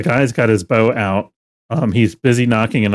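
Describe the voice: Against a quiet background, the passage is read plainly aloud with fairly even intonation.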